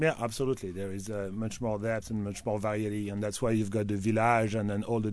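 A man talks at a very fast pace. His pitch is fairly low and his intonation monotone and flat. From France, Loire Valley (Tours). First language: French. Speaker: wine importer. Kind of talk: radio interview.

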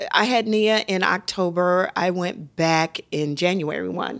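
In a very clean recording with a silent background, a woman talks at a very slow pace and a medium pitch. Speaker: Broadway actress and mom. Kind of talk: casual chat. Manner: loud.

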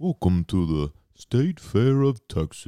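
Using a put-on character voice, a man speaks at medium pitch and a fairly slow pace, his pitch swinging very widely. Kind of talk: announcer.

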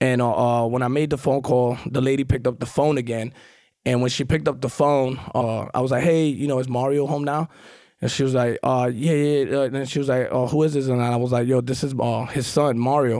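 Talking at a fairly quick pace, a man has a medium pitch, a dark, mellow tone, monotone, flat intonation and very even loudness. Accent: New York. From Queens, New York. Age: 40s. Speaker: recovering addict, guest. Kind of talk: casual interview. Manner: conversational, fills with 'you know'.

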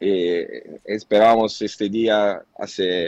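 A man's fairly low-pitched voice with fairly even intonation, in a dry, close sound with no echo. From Italy, Naples. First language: Italian (speaking Spanish). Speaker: journalist. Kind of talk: interview. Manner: halting.

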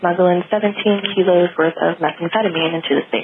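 Through noticeable background noise, the speaker talks with an American accent at a moderate pace and fairly even intonation. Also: woman. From California. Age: 20s. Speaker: caller. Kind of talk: voicemail. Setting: phone call.

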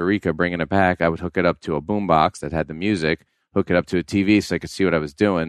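In an American accent, the speaker talks at a very fast pace with monotone, flat intonation, recorded with a dry, close sound with no echo over a quiet background. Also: man. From New York. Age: 50s. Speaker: professional fisherman and TV show host. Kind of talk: casual interview.

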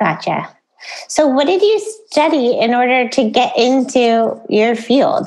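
Speaking very slowly with an American accent, a woman keeps her loudness very even while her high voice makes very wide pitch swings. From Southern California. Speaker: podcast host. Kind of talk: interview conversation. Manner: casual, laughs often.

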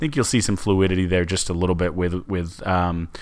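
In an American accent, a man with a very deep, low voice speaks at a fairly quick pace. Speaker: sports podcast co-host. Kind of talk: casual chat. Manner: halting, many fillers and repeats; jokey, sarcastic.

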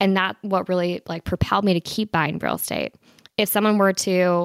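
A woman with a plain, everyday voice speaks at a moderate pace and medium pitch, in a very clean recording with a silent background and a dry, close sound with no echo. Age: 20s. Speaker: real estate investor. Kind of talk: interview.

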